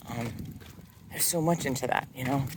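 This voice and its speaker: Mumbled speech carries fairly even intonation. Noticeable background noise is present. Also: man. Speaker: dancer and vlogger. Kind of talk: casual vlog monologue. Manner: mumbling, halting with fillers.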